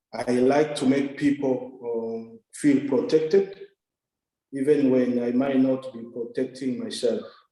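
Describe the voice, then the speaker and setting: Dark, mellow tone from a man with a Congolese accent, fairly even intonation at a fairly slow pace. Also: medium pitch for a man. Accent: Congolese francophone African English. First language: French. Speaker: development worker, scholarship recipient. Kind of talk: interview. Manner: hesitant, many fillers.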